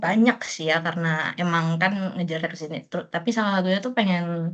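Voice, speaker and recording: With a Bekasi accent, a woman speaks at a moderate pace in a fairly low voice, her intonation fairly even but her loudness swinging a lot, over a quiet background. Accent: Bekasi-sounding Jakarta-area. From Merauke, Papua, Indonesia. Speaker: new university student. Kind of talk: casual peer interview.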